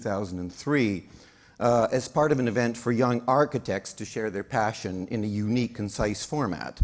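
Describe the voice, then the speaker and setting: Speaking at a moderate pace, a man with a Canadian accent has a medium pitch and an ordinary speaking voice. The recording is very clean, with a silent background. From Saskatchewan, Canada. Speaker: conference emcee. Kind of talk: event hosting with humor.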